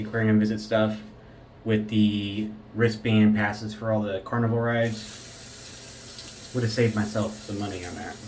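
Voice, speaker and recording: In a room with audible echo, a man with a fairly low pitch speaks at a moderate pace in a relaxed tone, his intonation monotone and flat. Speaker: shaving video host. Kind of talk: casual chat.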